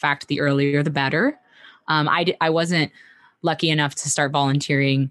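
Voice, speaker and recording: A woman is speaking against a quiet background. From US, a landlocked state. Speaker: marine conservationist and educator. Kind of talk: podcast interview.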